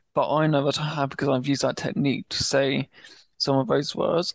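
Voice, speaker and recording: A man with a British accent and a fairly high pitch, dry and close with no echo, against a quiet background. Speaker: stammering awareness advocate. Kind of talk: interview.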